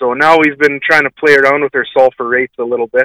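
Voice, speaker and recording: A man with a Canadian prairie accent, fairly high in pitch, with a bright, sharp tone, monotone, flat intonation, a fairly quick pace and a dry, close sound with no echo. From Manitoba, Canada. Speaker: farmer. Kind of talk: radio call-in. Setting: phone call.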